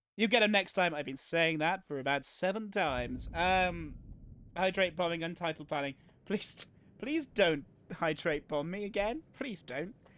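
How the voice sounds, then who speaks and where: In a Welsh accent, a man with a high pitch and a bright, sharp tone speaks at a moderate pace on a very clean recording with a silent background. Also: ordinary pitch variation. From Wales. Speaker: video game streamer. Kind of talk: casual chat with live stream viewers while gaming. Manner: halting, many fillers and restarts.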